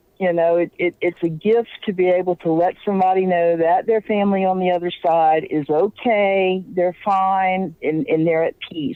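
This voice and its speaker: Talking with a Louisiana accent, a woman of medium pitch keeps a moderate pace, very even loudness, fairly even intonation and hardly any pauses. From Louisiana, New Orleans. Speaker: paranormal investigator and psychic. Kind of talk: interview.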